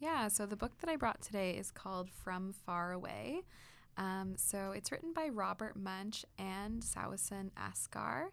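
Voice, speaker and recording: A woman talks at a fairly slow pace with a Canadian accent, her medium-pitched, plain, everyday voice carrying lively intonation. The recording is very clean, with a silent background. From Kitchener area, Ontario, Canada. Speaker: supply teacher and musician. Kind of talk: casual chat. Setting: studio.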